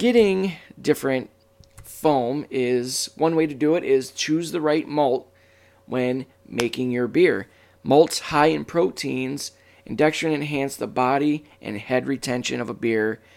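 A man with an American accent has an ordinary speaking voice at a medium pitch. He talks at a fairly slow pace with ordinary pitch variation on a very clean recording with a silent background. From Michigan. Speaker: podcast host. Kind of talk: casual chat.

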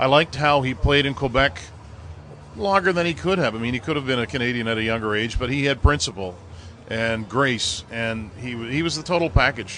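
Speaking fairly quickly with lively intonation, a man uses a plain, everyday voice at a medium pitch. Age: 40s. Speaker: hockey play-by-play broadcaster. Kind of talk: casual interview.

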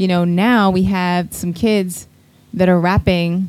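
A plain, everyday voice with an American accent talks at a fairly slow pace. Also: woman. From United States. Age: 30s. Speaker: podcast co-host, DJ. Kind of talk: casual chat.

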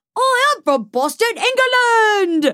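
A woman puts on a character voice with a Cockney accent, pitched extremely high and swinging widely up and down, her bright, sharp tone delivered at a slow pace. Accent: exaggerated mock Cockney British.

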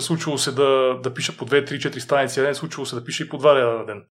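A man with a plain, everyday voice, a medium pitch, fairly even intonation and a fairly quick pace. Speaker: author and fitness trainer. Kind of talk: interview.

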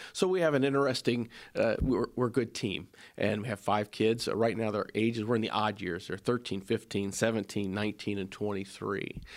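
Very fast speech from a man with an American accent and a fairly low pitch, on a very clean recording with a silent background. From Ohio, Springfield area. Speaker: state legislator and manufacturing business owner. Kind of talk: interview.

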